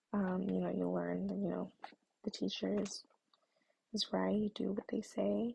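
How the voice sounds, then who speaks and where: A woman is speaking. The sound is dry and close, with no echo. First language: Spanish. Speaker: student presenter. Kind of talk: personal narrative presentation. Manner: hesitant, many fillers.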